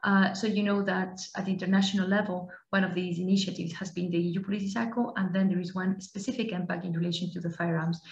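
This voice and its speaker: Talking at a very fast pace in a Spanish accent, a woman keeps a monotone, flat intonation amid audible room echo. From Spain. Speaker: law enforcement cooperation coordinator; webinar presenter. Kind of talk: presentation. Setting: online webinar. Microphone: headset.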